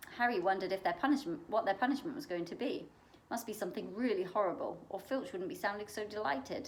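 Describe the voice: What is heard is plain reading aloud.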